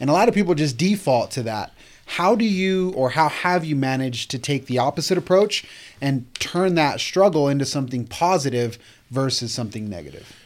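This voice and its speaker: A man with a normal speaking voice talks at a fairly quick pace. His pitch is fairly high. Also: lively intonation. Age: 30s. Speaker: podcast host, real estate agency owner. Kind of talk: casual interview. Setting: studio.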